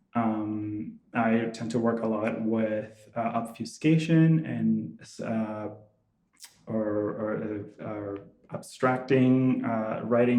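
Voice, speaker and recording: A man's dark, mellow tone at medium pitch, fairly even intonation and a very slow pace, with audible room echo. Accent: Venezuelan. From Venezuela. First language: Spanish. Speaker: visual artist. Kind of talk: artist talk. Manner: halting, many fillers and restarts.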